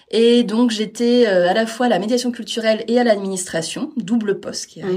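A woman with a fairly high pitch speaks at a fairly quick pace, with ordinary pitch variation, big swings in loudness and noticeable background noise. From Normandy, France (Caen). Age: 30s. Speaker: cultural mediator. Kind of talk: interview. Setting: at the venue.

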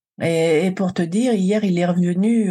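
At a fairly slow pace, a woman speaks in a medium pitch with a dark, mellow tone and ordinary pitch variation. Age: 60s. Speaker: cancer survivor and emotional wellbeing coach. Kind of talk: testimony.

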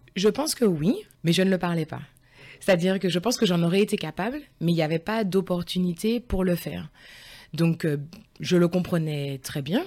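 Long, frequent pauses break up a woman's moderate pace, her fairly low pitch carrying a dark, mellow tone. Her pitch variation is ordinary, and the recording is very clean with a silent background. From France, Lyon area. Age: 40s. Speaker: school teaching assistant. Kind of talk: interview conversation.

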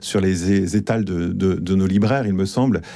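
A man speaks with a dark, mellow tone. His pitch is fairly low and his intonation fairly even. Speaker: book editor. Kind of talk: radio discussion. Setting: radio studio.

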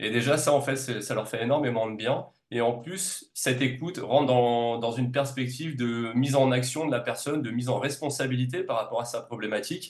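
A man with a normal speaking voice talks at a fairly quick pace with hardly any pauses. His medium pitch follows a fairly even intonation. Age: 40s. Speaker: naturopath and reflexologist. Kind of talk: casual interview.

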